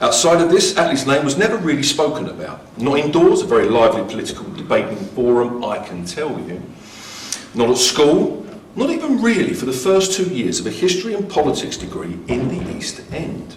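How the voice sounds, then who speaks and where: A man talks at a fairly quick pace with audible room echo and noticeable background noise. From Essex, eastern England (born Plaistow, raised Havering). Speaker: professor. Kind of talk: lecture.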